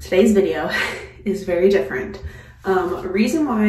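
A woman's speech carries audible room echo, along with light background noise. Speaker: mom vlogger. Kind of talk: casual vlog chat. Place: home room.

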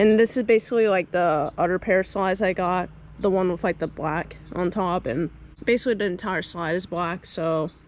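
A woman speaks at a fairly quick pace with ordinary pitch variation, her voice dry with no echo over light background noise. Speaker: vlogger. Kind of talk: casual vlog chat. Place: garden. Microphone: phone near.

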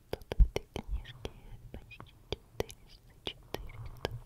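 A woman is whispering. She is soft-spoken. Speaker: home video host. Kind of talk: soft casual show-and-tell. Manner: slow soft close whisper. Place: home room. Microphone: earbuds.

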